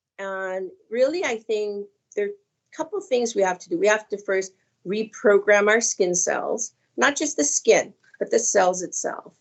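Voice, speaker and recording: Speaking at a fairly slow pace in an ordinary speaking voice, the speaker uses lively intonation and big swings in loudness. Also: woman, fairly high pitch for a woman. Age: 60s. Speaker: skincare company founder. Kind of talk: casual chat.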